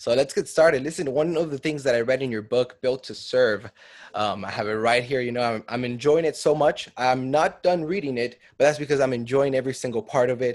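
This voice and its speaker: This man has a plain, everyday voice at medium pitch with ordinary pitch variation, talking at a fairly quick pace with hardly any pauses. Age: 20s. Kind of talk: interview; scripted outro.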